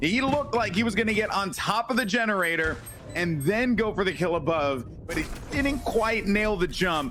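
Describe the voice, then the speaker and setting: Over music in the background, the speaker talks at a moderate pace in an animated tone with lively intonation. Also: man, high pitch for a man. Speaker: esports caster. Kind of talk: live commentary.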